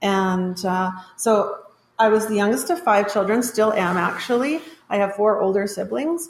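A woman with a plain, everyday voice speaks at a moderate pace and medium pitch, her intonation lively. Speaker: school assistant principal. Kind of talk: casual chat.

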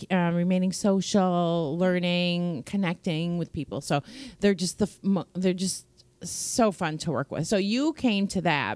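A woman at a fairly low pitch and fairly slow pace, on a very clean recording with a silent background. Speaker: podcast host and dog training program founder. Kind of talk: casual chat. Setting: studio.

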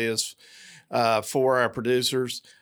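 On a very clean recording with a silent background, a man with an Appalachian accent speaks at a medium pitch and moderate pace in a monotone, flat intonation. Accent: Southern Appalachian American. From US South, southwest Virginia. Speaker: cattle producer and policy chair. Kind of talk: interview. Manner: halting with many fillers.

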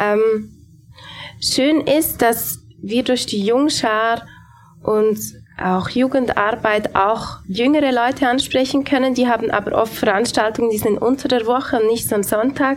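A woman talks at a fairly slow pace with a fairly high pitch, fairly even intonation and very even loudness, over noticeable background noise. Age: 30s. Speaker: pastor. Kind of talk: panel discussion. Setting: live audience in a café.

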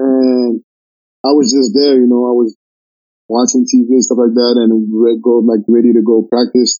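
A man with a French Canadian accent speaks at medium pitch and a moderate pace. His intonation is monotone and flat, with very even loudness. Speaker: college basketball player. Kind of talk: casual interview. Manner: relaxed.

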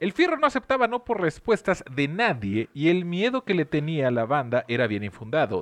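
A man with a Mexican accent at a moderate pace, his pitch swinging very widely. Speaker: podcast host telling history stories. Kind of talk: casual chat with storytelling. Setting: different recording set.

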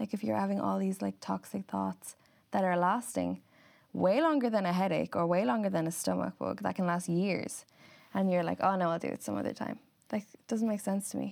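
Heard in a very clean recording with a silent background, a woman with an Irish accent talks at a fairly quick pace. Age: 20s. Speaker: model and influencer. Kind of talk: casual interview.

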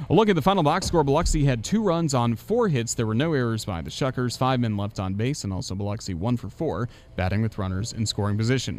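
A man with a medium-pitched voice talks at a very fast pace with hardly any pauses. His tone is animated and his intonation lively. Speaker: baseball radio broadcaster. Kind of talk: live sports commentary, play-by-play. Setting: press box at the ballpark. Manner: animated, fast-paced call of the action.

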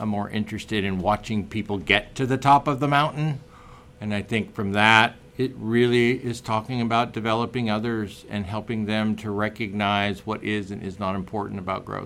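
A man with a General American accent talks in an ordinary speaking voice at a fairly low pitch. He keeps a moderate pace and fairly even intonation. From US West, Oregon. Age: 50s. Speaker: entrepreneur. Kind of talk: interview. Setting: studio.

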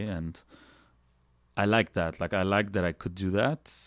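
A man with a Lebanese accent speaks in a very deep, low voice with fairly even intonation, in a dry, close sound with no echo and a very clean recording with a silent background. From Lebanon. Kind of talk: casual interview chat.

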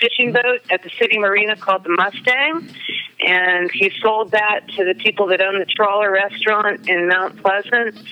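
A woman with an American accent speaks at medium pitch and a moderate pace, with fairly even intonation and very even loudness. Noticeable background noise is present. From South Carolina coast (Charleston area). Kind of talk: casual chat.

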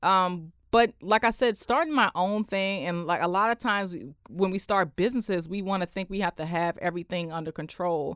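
With a D.C. accent, the speaker talks with hardly any pauses and ordinary pitch variation in a dry, close sound with no echo on a very clean recording with a silent background. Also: woman, medium pitch for a woman. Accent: DC urban American, slightly proper. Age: 20s. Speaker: entrepreneur, accountant and talk show host. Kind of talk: casual radio interview. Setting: radio studio. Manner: casual, switches between proper and street.

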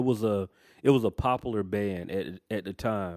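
Dry and close with no echo, this very clean recording on a silent background has a man speaking at a moderate pace, fairly low in pitch, with fairly even intonation, in a normal speaking voice. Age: 30s. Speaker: podcast co-host. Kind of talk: casual chat.

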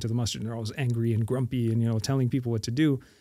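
A man with a Montreal accent speaks at medium pitch in a dark, mellow tone, his intonation fairly even. The recording is very clean, the background silent. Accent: Canadian English (Montreal). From Montreal, Quebec, Canada. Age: 40s. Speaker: imam and prison chaplain. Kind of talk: casual chat.

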